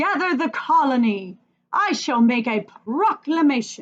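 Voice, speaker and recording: A woman puts on a character voice pitched high. She goes at a fairly slow pace, and her pitch swings very widely. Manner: heroic, regal.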